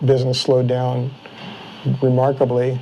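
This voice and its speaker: A man speaks at medium pitch and a moderate pace with fairly even intonation. Background noise is noticeable. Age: 60s. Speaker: bicycle frame builder. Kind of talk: interview. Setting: workshop.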